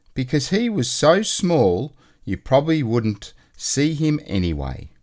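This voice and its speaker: A man with an Australian accent speaks at a very slow pace. His pitch swings very widely. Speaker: storyteller. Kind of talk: children's book read-aloud.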